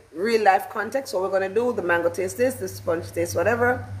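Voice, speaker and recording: Audible room echo and noticeable background noise surround a woman speaking in a medium pitch with ordinary pitch variation. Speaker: teacher trainer. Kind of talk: workshop lecture. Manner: fast.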